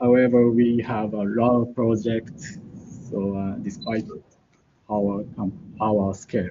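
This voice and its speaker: At a very slow pace, a man with a Japanese accent talks at medium pitch with ordinary pitch variation. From Japan, Hokkaido. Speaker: embedded programmer. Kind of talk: conference talk. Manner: halting.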